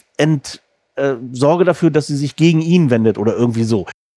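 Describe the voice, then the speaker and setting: Dry and close with no echo, a man's fairly high voice shows ordinary pitch variation. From northern Germany, Rostock. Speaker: podcast host. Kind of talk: interview.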